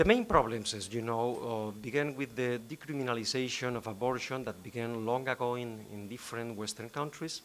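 Ordinary pitch variation from a man talking at a fairly quick pace. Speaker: law professor panelist. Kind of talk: conference talk. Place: hall. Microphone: podium.

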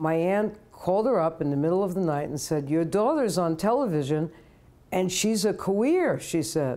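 A woman with a New York accent speaks at a moderate pace in a fairly low, dark, mellow voice with lively intonation. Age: 70s. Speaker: retired professor and activist. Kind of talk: interview. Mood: reflective, personal memories. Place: home room. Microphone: lapel.

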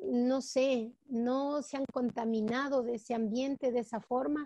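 A woman speaks at a fairly slow pace with a high pitch and a dark, mellow tone. The sound is dry, with no echo. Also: quiet background. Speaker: teacher. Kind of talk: personal testimony in online class discussion. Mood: warm, moved, heartfelt. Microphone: video call.

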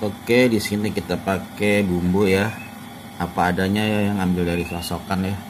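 Noticeable background noise sits under a man who speaks fairly slowly. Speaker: home cook vlogger. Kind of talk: cooking tutorial. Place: home room. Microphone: phone near.

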